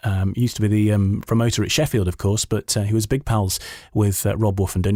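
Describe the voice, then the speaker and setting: A man with an unremarkable speaking voice talks at a fairly quick pace. The recording is very clean, with a silent background. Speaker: podcast host. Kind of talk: podcast interview questions.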